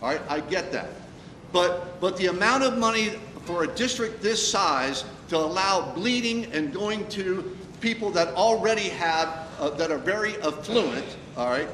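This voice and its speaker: Loud and lively in intonation, a man with a high pitch talks at a moderate pace over noticeable background noise, with audible room echo. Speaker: school board member at community forum. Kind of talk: community forum Q&A. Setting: meeting room with audience. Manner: halting, many fillers; loud, fired up.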